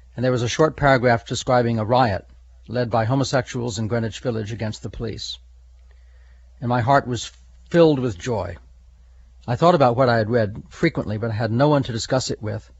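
A man of medium pitch talks at a fairly quick pace, somewhat breathy, with ordinary pitch variation and long, frequent pauses. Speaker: retired police officer. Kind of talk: interview recollection.

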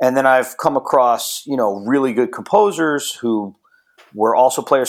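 An ordinary speaking voice from a man, moderate in pace and fairly high in pitch. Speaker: drummer and music producer. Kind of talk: casual interview chat.

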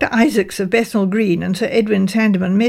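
Intonation remains fairly even throughout. The reading voice is unforced.

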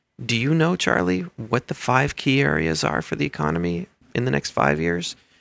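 Over music in the background, a man speaks with very wide pitch swings in a dry, close sound with no echo. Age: 40s. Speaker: university administrator. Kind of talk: interview.

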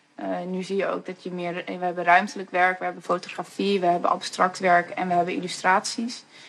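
Against noticeable background noise, a woman with a medium pitch talks at a fairly quick pace in a monotone with flat intonation. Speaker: festival organizer. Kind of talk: casual interview.

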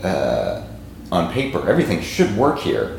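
Fairly slow male speech carries audible room echo and noticeable background noise. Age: 30s. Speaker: podcast host. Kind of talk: casual interview chat.

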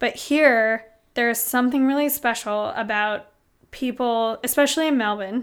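A woman with an American accent and high pitch speaks at a moderate pace with fairly even intonation in a very clean recording with a silent background. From US Pacific Northwest, Seattle. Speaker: restaurant owner. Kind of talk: casual chat. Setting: host's home.

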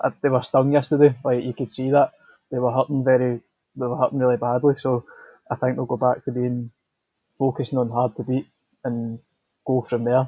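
Monotone, flat delivery broken by long, frequent pauses. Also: man. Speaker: football journalist. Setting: interview.

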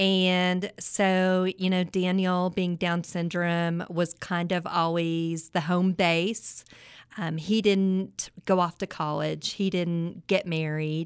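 A woman's very slow, monotone delivery with flat intonation, in a West Texas accent, on a very clean recording with a silent background. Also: fairly low pitch for a woman. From West Texas, Midland. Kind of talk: interview. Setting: studio.

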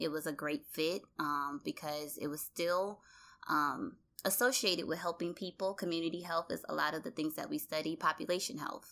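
On a very clean recording with a silent background, a woman with an American accent speaks with a bright, sharp tone at a fairly low pitch. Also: ordinary pitch variation, moderate pace. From US South, Louisiana (Baton Rouge). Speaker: public health professional. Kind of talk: interview testimony. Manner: hesitant with fillers.

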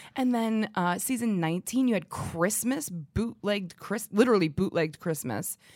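A woman at medium pitch with a plain, everyday voice, a moderate pace, lively intonation and hardly any pauses. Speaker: podcast host. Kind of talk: casual chat.

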